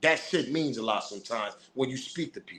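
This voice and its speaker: A man with vocal fry speaks at a fairly quick pace. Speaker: hip-hop news commentator. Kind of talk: casual commentary monologue. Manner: aggressive.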